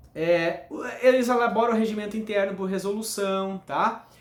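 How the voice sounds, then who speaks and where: A man talks with fairly even intonation, and audible room echo can be heard. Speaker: law teacher. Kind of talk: lecture.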